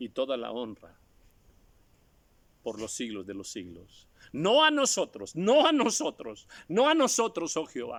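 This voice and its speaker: A man is speaking. His pace is fairly slow. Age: 60s. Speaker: preacher. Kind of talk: sermon.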